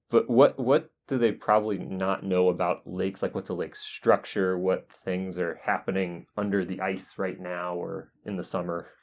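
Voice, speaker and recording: A man's very deep, low voice in an American accent, with ordinary pitch variation, a moderate pace and hardly any pauses. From US South, North Carolina. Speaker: podcast host, geologist. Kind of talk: interview. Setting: university office.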